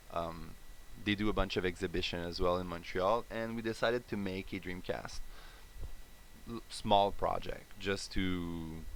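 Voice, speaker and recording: A man with a Quebec accent, very deep and low in pitch, at a fairly slow pace with fairly even intonation. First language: French. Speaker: indie game developer. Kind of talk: live stream dev update. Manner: hesitant, many fillers.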